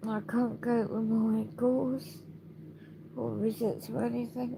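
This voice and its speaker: Very slow speech with a British accent. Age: 60s. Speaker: video blogger. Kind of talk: personal video diary.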